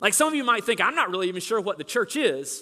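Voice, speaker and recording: In a very clean recording with a silent background, a man projects an extremely high-pitched, raised voice with a bright, sharp tone. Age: 40s. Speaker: pastor. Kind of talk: sermon.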